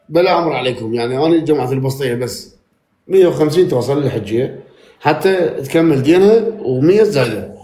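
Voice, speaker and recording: Amid audible room echo, a man with a fairly high pitch speaks at a moderate pace with lively intonation. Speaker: live stream participant. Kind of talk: live stream chat. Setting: live stream.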